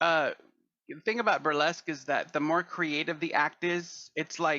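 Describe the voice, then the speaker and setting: A normal speaking voice from a man with an American accent, fairly high-pitched, with fairly even intonation at a moderate pace. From Texas. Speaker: burlesque performer and actor. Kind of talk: casual interview chat.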